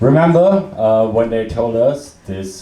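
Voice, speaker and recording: A man with an Austrian accent talks very slowly with lively intonation, and audible room echo surrounds him. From Austria, Salzburg. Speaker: comedian. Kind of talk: stand-up. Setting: stage with audience. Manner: halting, with many fillers.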